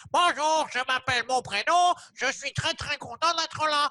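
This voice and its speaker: The voice is a high, nasal, put-on character voice. It moves at a moderate pace. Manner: silly, cartoonish.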